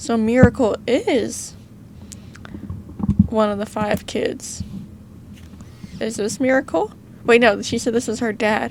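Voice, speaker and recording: With an American accent and a fairly high pitch, a woman talks at a fairly slow pace with fairly even intonation and long, frequent pauses, over noticeable background noise. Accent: southern accent, coming out more than usual. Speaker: gaming youtuber. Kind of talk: gameplay commentary with reading aloud. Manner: casual, chatty.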